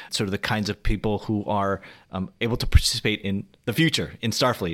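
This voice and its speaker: A man with an American accent talks in an unremarkable speaking voice, fairly low in pitch. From US, Korean American family. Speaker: blogger and author. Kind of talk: casual interview.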